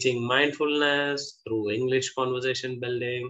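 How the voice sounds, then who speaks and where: A man talks with fairly even intonation at a moderate pace, and the background is quiet. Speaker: interview host. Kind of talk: guest introduction. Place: home room. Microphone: video call.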